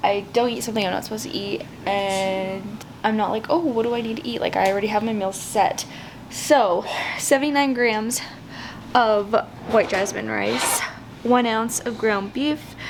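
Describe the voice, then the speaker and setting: A woman's fairly high voice with ordinary pitch variation, plus audible room echo and noticeable background noise. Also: moderate pace. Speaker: fitness vlogger. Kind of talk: casual vlog talk. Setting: gym.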